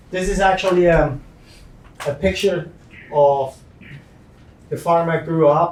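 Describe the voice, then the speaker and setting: Over noticeable background noise, a man with a fairly high pitch speaks very slowly with fairly even intonation. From Switzerland. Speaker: farmer. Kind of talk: slide presentation talk.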